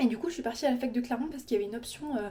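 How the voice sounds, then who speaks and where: A woman at a high pitch and a very fast pace. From France. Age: 20s. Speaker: vlogger, law student. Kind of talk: casual chat. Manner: casual, many fillers.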